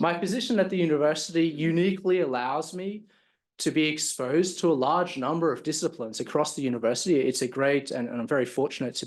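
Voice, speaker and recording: With an Australian accent, a man talks at a very fast pace in a fairly high pitch. His pitch variation is ordinary, and the background is quiet. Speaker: professor. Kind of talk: lecture. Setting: stage with audience. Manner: halting, many fillers and repetitions.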